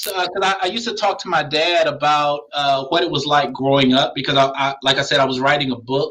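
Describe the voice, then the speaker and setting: In a normal speaking voice, a man talks at a fairly quick pace and a fairly high pitch. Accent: American. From Philadelphia, US. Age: 40s. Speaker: pastor and seminary administrator. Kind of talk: interview.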